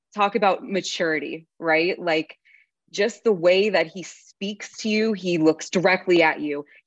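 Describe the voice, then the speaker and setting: A woman speaks at a fairly slow pace in an unremarkable speaking voice, her pitch medium with ordinary variation. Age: 20s. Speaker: podcast host. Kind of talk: casual chat.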